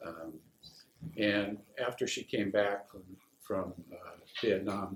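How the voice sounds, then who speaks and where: A man speaks with an American accent. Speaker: war veteran. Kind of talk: casual spoken introduction.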